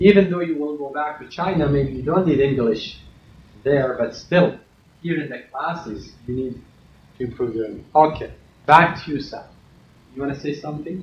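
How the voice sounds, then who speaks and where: At a moderate pace, a man with a non-native accent and a fairly high, somewhat breathy voice uses ordinary pitch variation, big swings in loudness and long, frequent pauses, with audible room echo. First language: not English. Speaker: university lecturer. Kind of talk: classroom lecture. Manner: stern.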